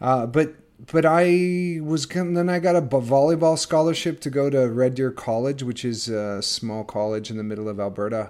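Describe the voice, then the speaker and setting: An unremarkable speaking voice with a Canadian accent, lively intonation and a moderate pace. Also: man, fairly high pitch for a man. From northern Canada. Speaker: actor and life coach. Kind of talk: casual interview chat. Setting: remote call from quarantine.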